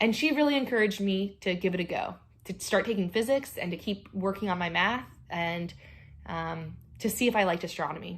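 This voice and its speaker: Speaking fairly quickly, a woman with an American accent has a medium pitch and a somewhat breathy voice. Her pitch variation is ordinary. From North Carolina. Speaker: astronomer, panel speaker. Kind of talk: career talk to students.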